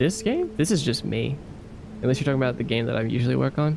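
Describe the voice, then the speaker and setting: A man speaks with music in the background. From Australia. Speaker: game developer and streamer. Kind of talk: casual live stream chat. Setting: live stream.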